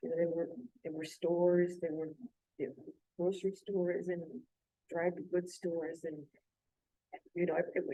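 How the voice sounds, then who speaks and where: With a South Texas accent, a woman speaks at a moderate pace in a fairly low, dark, mellow voice, her intonation monotone and flat, her loudness swinging widely, with long, frequent pauses. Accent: South Texas American English. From South Texas (San Diego, Texas). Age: 80s+. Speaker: church study group participant. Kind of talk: casual group discussion. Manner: halting.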